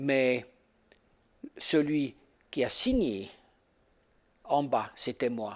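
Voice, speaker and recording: A man of medium pitch speaks at a very slow pace. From German-speaking Switzerland. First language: Swiss German (speaking French). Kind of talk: seminar teaching with personal testimony. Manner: halting, with fillers.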